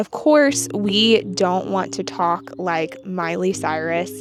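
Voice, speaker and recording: Music plays in the background as a woman speaks at a very slow pace. She has an American accent. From United States. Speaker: English-teaching YouTuber. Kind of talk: casual vlog monologue. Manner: clear, well-spoken.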